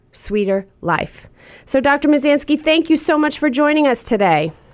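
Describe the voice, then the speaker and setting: A woman talks with an American accent and lively intonation. She keeps a moderate pace. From northeastern US. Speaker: TV talk show host. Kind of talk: scripted introduction; interview.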